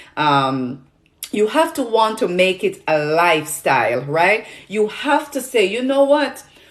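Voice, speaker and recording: Speaking fairly slowly with a Jamaican accent, a woman uses a fairly high pitch and very wide pitch swings. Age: 40s. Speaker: nutrition product seller and health influencer. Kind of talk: livestream chat with viewers. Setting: livestream on social media. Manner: halting, many fillers.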